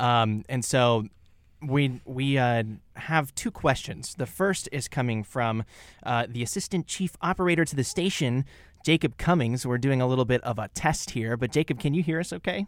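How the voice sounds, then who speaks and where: A man with a Midwestern American accent, ordinary pitch variation, and a very clean recording over a silent background. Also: medium pitch for a man, moderate pace. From Kansas, Topeka. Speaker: college radio host. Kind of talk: radio talk show. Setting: college radio studio.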